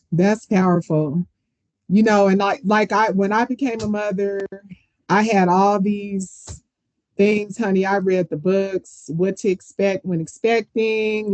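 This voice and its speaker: A woman speaks at a fairly slow pace in a medium pitch, with a dry, close sound and no echo. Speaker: podcast host. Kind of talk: casual chat. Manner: loud.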